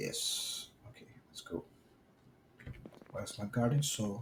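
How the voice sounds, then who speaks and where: With a strong Brazilian accent, a man talks at a very slow pace. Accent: thick Brazilian. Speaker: gaming streamer. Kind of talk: gameplay commentary. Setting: live stream recording.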